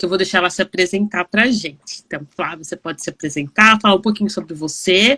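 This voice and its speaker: A bright, sharp tone with ordinary pitch variation, in a dry, close sound with no echo on a very clean recording with a silent background. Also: woman. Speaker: online talk show host. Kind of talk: casual interview chat. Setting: live video stream.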